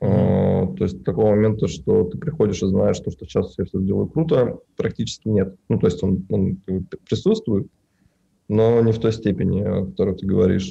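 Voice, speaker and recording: With a dark, mellow tone and some vocal fry, a man speaks at a moderate pace in a fairly low pitch, using ordinary pitch variation. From Russia, Tatarstan (Naberezhnye Chelny). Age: 20s. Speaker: film colorist, studio owner. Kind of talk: casual interview.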